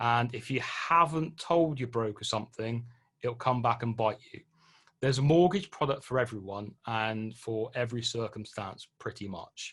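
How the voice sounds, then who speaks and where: This man's voice sits at a medium pitch with ordinary pitch variation. He talks at a fairly slow pace. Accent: British. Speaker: property investment presenter. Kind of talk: webinar presentation. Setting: online webinar. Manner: hesitant with fillers.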